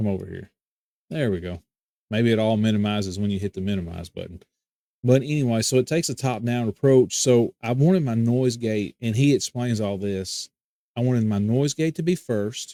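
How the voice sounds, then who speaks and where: A man's dark, mellow voice at medium pitch and a fairly quick pace, with ordinary pitch variation, in a very clean recording with a silent background and a dry, close sound with no echo. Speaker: tech youtuber. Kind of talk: tutorial. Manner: halting. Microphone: new Rode mic with OBS filters.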